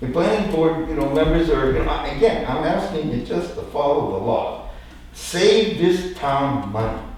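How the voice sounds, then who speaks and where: Noticeable background noise and audible room echo around a man's fairly high-pitched voice at a fairly quick pace. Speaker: property developer and resident. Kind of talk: public comment at town meeting. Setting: town board meeting. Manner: animated.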